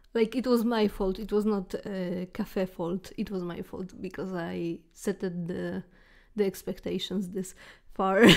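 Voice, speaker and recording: On a very clean recording with a silent background, a woman with a non-native accent speaks at a medium pitch, fairly slowly, with fairly even intonation. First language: not English. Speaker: storytelling vlogger. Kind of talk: casual storytime. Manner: halting, many fillers.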